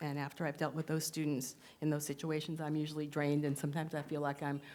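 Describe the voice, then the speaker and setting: A woman speaks very fast in a very deep, low voice with flat, monotone intonation. The recording is very clean, with a silent background. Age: 60s. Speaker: math teacher. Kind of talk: award acceptance speech. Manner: hesitant, many fillers.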